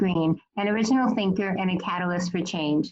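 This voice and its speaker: A woman's somewhat breathy, medium-pitched voice at a fairly quick pace. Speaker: podcast host, reverend. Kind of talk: podcast intro.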